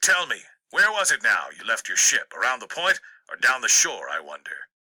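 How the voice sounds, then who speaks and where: A man performs a put-on character voice. He keeps to a moderate pace. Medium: read story. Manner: gruff, contemptuous.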